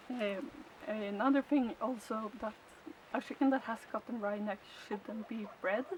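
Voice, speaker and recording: A woman with a Swedish accent talks at a fairly slow pace in a fairly high pitch, with noticeable background noise. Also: ordinary pitch variation. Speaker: chicken keeper. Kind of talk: tutorial. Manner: halting.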